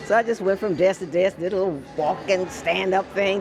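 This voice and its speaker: A woman with an American accent at medium pitch, over noticeable background noise. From US Midwest, Evanston, Illinois. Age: 80s+. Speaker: former TV news personality. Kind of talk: casual interview.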